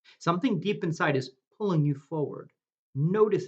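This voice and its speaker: With an American accent, a man speaks with very wide pitch swings. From US Northeast, New Jersey. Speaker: meditation guide. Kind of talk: guided meditation. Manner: slow; soft-spoken.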